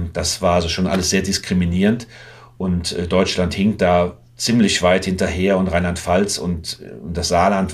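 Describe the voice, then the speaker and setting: Fairly slowly and with fairly even intonation, a man talks at a very deep, low pitch. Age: 60s. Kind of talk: casual interview.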